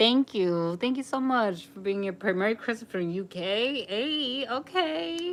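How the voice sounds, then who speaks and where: A woman with an American accent, medium in pitch, speaking fairly slowly with very wide pitch swings. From New York. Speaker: live streamer. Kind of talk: casual chat. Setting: livestream. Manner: animated.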